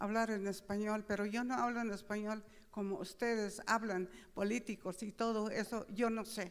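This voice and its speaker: This is a woman with a fairly high voice. She talks at a fairly slow pace. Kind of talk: speech at opening ceremony. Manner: halting.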